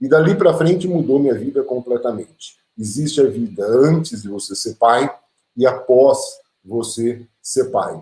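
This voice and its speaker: At a fairly slow pace, a man with a medium pitch and a dark, mellow tone sounds somewhat breathy, with lively intonation and big swings in loudness. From interior of São Paulo state, Brazil. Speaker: teacher and speaker. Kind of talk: lecture.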